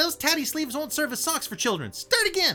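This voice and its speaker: Over clear music in the background, a man speeds through a shrill, put-on character voice at an extremely high pitch. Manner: scolding.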